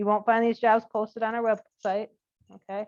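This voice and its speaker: This is a woman speaking. Her pace is very fast. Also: dry, close sound with no echo. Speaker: corporate supply chain manager recruiting interns. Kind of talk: presentation to student group.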